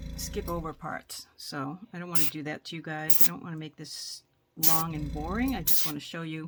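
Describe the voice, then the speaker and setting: A soft-spoken voice talks at a moderate pace with music in the background. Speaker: craft tutorial creator. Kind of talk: tutorial. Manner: casual.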